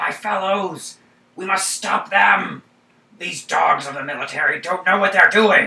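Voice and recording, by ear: A man is doing a put-on character voice. He pitches it high. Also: moderate pace.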